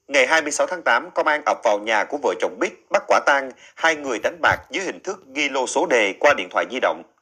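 Bright and sharp in tone, a man speaks with a fairly high pitch and lively intonation. He barely pauses at all. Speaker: news presenter. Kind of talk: news reading. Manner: formal.

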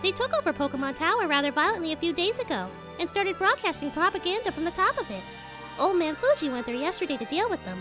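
Extremely high pitch at a very fast pace over loud music in the background.

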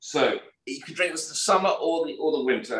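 A man speaks at a fairly quick pace in a British accent. There is audible room echo over a quiet background. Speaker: podcast co-host. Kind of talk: casual chat. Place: home room. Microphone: video call.

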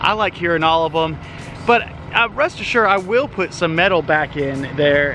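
A man speaks at a high pitch. Music plays in the background, and the sound is dry with no echo. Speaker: renovation vlogger. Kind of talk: casual vlog chat. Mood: relaxed, friendly. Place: garden. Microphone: phone near.

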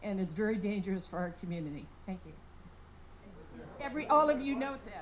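Talking at a fairly quick pace with a medium pitch, a woman makes very wide pitch swings amid audible room echo. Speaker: audience member at candidate forum. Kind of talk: public comment at forum. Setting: public library forum with audience. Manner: loud; animated.

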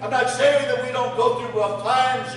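A man speaks against light background noise. The room echo is strong. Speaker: pastor. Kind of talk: sermon. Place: church. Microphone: camera far.

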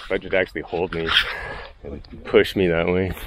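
There is noticeable background noise as a man speaks, the sound dry with no echo. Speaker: hiker vlogger. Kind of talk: casual vlog chat. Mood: relaxed, a bit nervous. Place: open country. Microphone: phone near.

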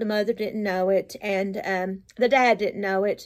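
Against a quiet background, a woman with an American accent talks at a fairly slow pace with ordinary pitch variation. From Appalachian United States. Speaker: storyteller. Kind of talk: casual storytelling to camera. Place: home room. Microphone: phone near.

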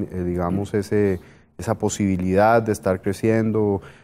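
The man's voice has a dark, mellow tone and a fairly low pitch. His intonation is monotone and flat. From Colombia (Bogotá). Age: 40s. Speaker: business executive; guest. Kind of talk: interview. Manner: hesitant, many fillers. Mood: reflective, personal story. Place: studio.

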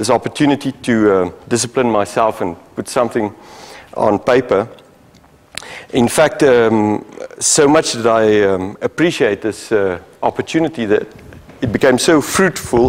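A man talks at a moderate pace with ordinary pitch variation. He leaves long, frequent pauses. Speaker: guest lecturer. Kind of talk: lecture. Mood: polite, grateful opening. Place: hall.

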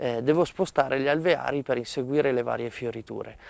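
The recording of this man at a medium pitch sounds dry, with no echo. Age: 30s. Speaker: beekeeper. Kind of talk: interview. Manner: halting, with frequent hesitations. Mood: calm, friendly. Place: farm. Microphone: lapel.

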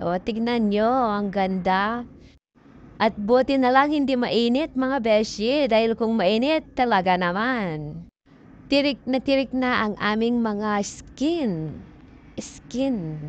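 A woman's fairly high voice at a very slow pace, dry with no echo, over light background noise. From Philippines. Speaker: travel vlogger. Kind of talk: vlog narration while hiking. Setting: outdoors on a mountain. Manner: animated. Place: open country. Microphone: phone near.

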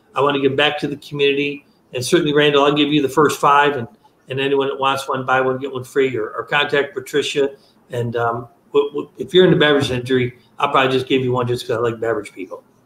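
A man with an American accent talks at a very fast pace. There is audible room echo and light background noise. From upstate New York. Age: old. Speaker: product seller, former beverage salesman. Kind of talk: product demonstration. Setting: video call. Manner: fast talker; excitable. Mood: friendly, passionate. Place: home room. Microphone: video call.

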